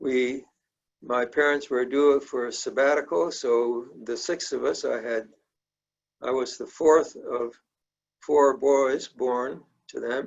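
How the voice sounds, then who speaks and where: Very slowly, a man speaks with an American accent. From South India (American missionary family, boarding school). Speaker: church member telling life story. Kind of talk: life story talk. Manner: halting, with fillers.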